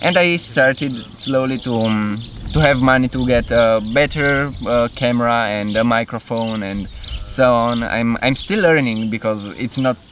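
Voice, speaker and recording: With a Romanian accent, a man talks at a fairly slow pace in a medium pitch with ordinary variation. Noticeable background noise can be heard. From Romania, Cluj-Napoca. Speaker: movement coach. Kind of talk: interview.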